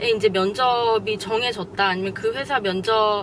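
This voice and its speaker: A woman at a fairly slow pace, fairly high in pitch with ordinary pitch variation, over noticeable background noise. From South Korea. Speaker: career advice vlogger. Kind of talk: vlog advice talk.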